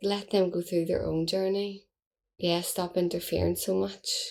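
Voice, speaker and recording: With a Belfast accent, a woman speaks at a fairly slow pace in a fairly low pitch. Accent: Belfast Northern Irish. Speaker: podcast host. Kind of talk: casual monologue. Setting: at home.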